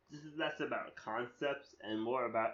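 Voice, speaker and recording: A man talks at a fairly slow pace. His pitch varies in an ordinary way. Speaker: spoken word artist and essay writer. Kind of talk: casual monologue. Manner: rambling with many fillers and restarts; unscripted, free-flowing.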